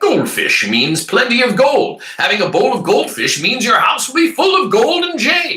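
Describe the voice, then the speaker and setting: Using a put-on character voice, a man speaks at an extremely high pitch with very wide pitch swings and hardly any pauses. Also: moderate pace. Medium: read story. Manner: soft, gentle, coaxing.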